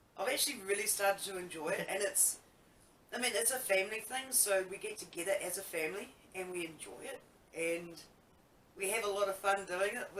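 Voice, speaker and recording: At a fairly quick pace broken by long, frequent pauses, the speaker talks with ordinary pitch variation. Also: woman, medium pitch for a woman. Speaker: band drummer and singer. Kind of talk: interview. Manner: halting.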